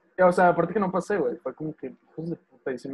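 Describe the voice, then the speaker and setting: A man with a Mexican accent talks at a very fast pace. His pitch is high, with ordinary variation. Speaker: podcast co-host. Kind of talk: casual chat.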